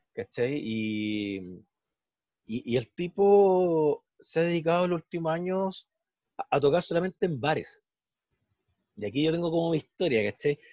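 Long, frequent pauses, lively intonation and a fairly slow pace in a Chilean accent. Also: man, fairly high pitch for a man. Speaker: podcast co-host. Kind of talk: casual chat.

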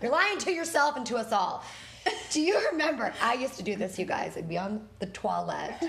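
Using an American accent, a woman talks at a fairly quick pace with a fairly high pitch and very wide pitch swings. Noticeable background noise is present. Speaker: podcast co-host and dance instructor. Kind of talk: casual chat.

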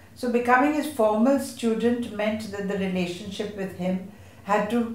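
Amid noticeable background noise and audible room echo, a woman speaks at a moderate pace, her medium pitch showing ordinary variation. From India, Mumbai. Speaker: theatre director. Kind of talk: panel discussion at a literature festival.

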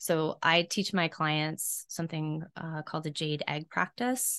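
Over a quiet background, a normal speaking voice with an American accent moves at a moderate pace. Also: woman. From US South, South Carolina. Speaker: intimacy and pleasure coach. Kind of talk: interview.

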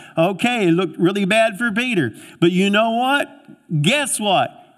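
A high-pitched man's voice with lively intonation. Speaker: pastor. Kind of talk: sermon. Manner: animated.

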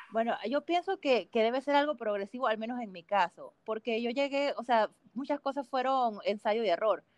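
A high-pitched woman's voice with a Panamanian accent, lively intonation and a moderate pace, hardly any pauses, in a dry, close sound with no echo. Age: 20s. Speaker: mountaineer. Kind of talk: casual interview.

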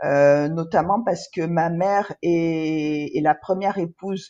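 A woman's fairly low voice at a very slow pace, with fairly even intonation, over a quiet background. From Ivory Coast. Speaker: entrepreneur. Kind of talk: interview. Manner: hesitant, frequent fillers and repetitions.

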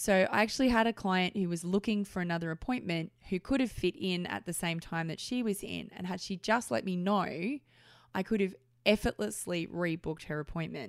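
A woman talks at a medium pitch and moderate pace with lively intonation. The sound is dry and close, with no echo. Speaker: massage therapist podcaster. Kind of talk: angry business rant, podcast monologue. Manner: frustrated, indignant, emphatic.

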